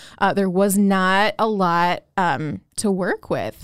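An American accent on a very clean recording with a silent background. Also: woman. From Chicago, south side. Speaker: hospital pharmacist. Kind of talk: interview. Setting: studio. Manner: hesitant with many fillers.

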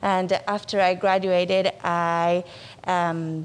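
A woman talks in a Spanish accent. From Argentina, Buenos Aires. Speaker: nonprofit executive director. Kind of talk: interview. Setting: studio.

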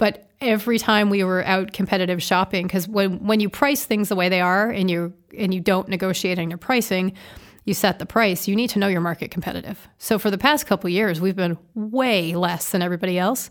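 A woman speaks with an American accent at a fairly quick pace, in an ordinary speaking voice. Her pitch sits in the medium range, and the recording is very clean with a silent background. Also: ordinary pitch variation. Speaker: car dealership executive and public speaker. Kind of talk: interview conversation. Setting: studio.

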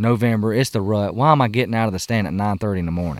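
Speaking at a fairly quick pace in a Southern US accent, a man comes through a very clean recording with a silent background. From US South. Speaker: hunter and outdoor YouTuber. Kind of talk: casual chat. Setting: outdoors around a campfire.

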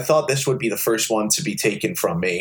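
Vocal fry at a moderate pace. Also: man. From US, born in Liverpool, England, moved at six. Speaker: game show contestant guest. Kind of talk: casual chat.

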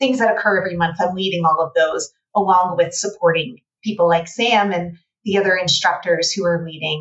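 An ordinary speaking voice with an American accent, fairly even intonation and a moderate pace. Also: woman. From United States. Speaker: playwright and writing teacher. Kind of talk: casual interview.

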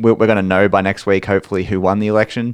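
Very fast, monotone speech from a man with a fairly low pitch and flat intonation, against a quiet background. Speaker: accountant and podcast co-host. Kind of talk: casual chat. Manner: reading policy details aloud.

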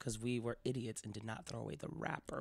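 With an American accent, the man is heard on a very clean recording against a silent background. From Miami, Florida. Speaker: actor and comedian. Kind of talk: casual interview chat.

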